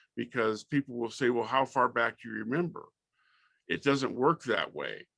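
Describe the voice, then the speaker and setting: A man with an American accent speaks with vocal fry, a bright, sharp tone and ordinary pitch variation, recorded dry and close with no echo over a quiet background. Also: medium pitch for a man, moderate pace. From Southern California. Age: 60s. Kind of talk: interview.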